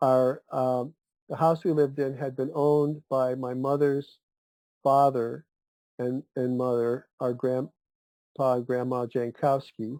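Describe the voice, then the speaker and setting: In an American accent, the voice has a dark, mellow tone and monotone, flat intonation at a fairly slow pace with long, frequent pauses, in a dry, close sound with no echo. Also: man, medium pitch for a man. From Cleveland, Ohio, US Midwest. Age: 70s. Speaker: podcast guest. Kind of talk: casual chat. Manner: halting, with many fillers and restarts.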